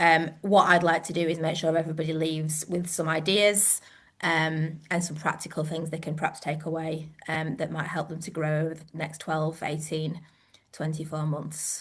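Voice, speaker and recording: A woman speaks in a very deep, low pitch with a northern English accent. Her voice is somewhat breathy and her intonation monotone and flat. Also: moderate pace. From northern England. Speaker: gym owner and coach. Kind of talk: webinar presentation. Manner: hesitant, many fillers.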